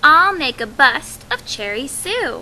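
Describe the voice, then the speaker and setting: Using a put-on character voice, a woman speaks at a fairly slow pace in a high pitch with very wide pitch swings. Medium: read story. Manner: polite, gentle.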